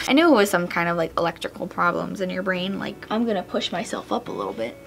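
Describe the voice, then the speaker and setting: A woman's very fast speech comes through noticeable background noise. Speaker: beauty vlogger. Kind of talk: casual talking video while doing makeup. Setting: home, TV on in background. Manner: hesitant, many fillers.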